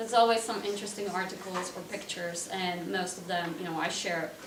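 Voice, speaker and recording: Audible room echo and noticeable background noise surround a woman's voice. She talks at a very fast pace with fairly even intonation. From Slovakia, Košice (eastern Slovakia). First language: Slovak. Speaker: cultural presenter and home cook. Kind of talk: presentation to an audience. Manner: casual, many filler words.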